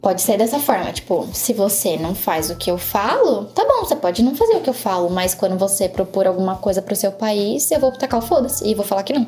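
A woman talks at a fairly quick pace in a medium pitch, with noticeable background noise. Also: ordinary pitch variation, hardly any pauses. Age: 20s. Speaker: international relations student. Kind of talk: casual chat.

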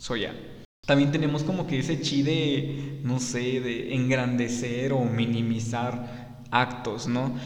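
Over noticeable background noise and audible room echo, a man speaks at a very slow pace with a medium pitch and fairly even intonation. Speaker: podcast host. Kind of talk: solo podcast monologue. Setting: studio.

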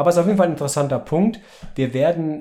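A man is speaking. His tone is dark and mellow. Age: 30s. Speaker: father and podcast host. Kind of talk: casual book discussion with his children.

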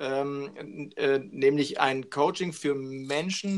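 This man's fairly high voice shows ordinary variation in pitch. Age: 50s. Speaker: business coach. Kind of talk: interview.

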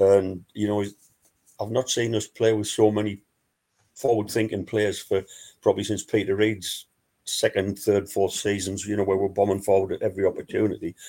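A man speaks at a fairly quick pace in a Wearside accent. His fairly low voice has a dark, mellow tone and monotone, flat intonation. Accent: Wearside (Sunderland) English. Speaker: fanzine contributor and football fan. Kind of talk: casual chat. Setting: video call.

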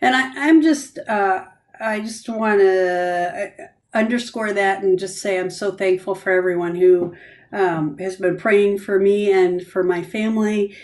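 At a fairly slow pace, a woman with an American accent speaks in a plain, everyday voice at a medium pitch with ordinary pitch variation. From Grand Rapids, Michigan. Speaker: church ministry pastor. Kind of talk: casual faith discussion podcast. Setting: video call.

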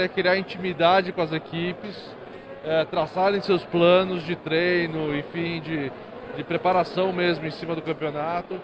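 Over music in the background, a man speaks with high pitch, monotone, flat intonation and a fairly slow pace. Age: 40s. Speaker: motorsport company executive. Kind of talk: stage talk. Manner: halting, many fillers.

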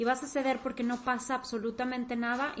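A woman speaks at a moderate pace and a fairly high pitch in an unremarkable speaking voice. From Mexico. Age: 30s. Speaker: teacher and psychology podcaster. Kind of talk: interview.

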